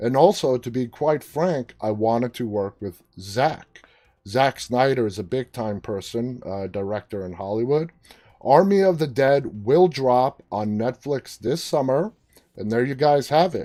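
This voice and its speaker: Lively intonation marks this man's medium-pitched delivery. He has an unremarkable speaking voice. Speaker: talk show host. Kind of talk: live-stream talk show hosting.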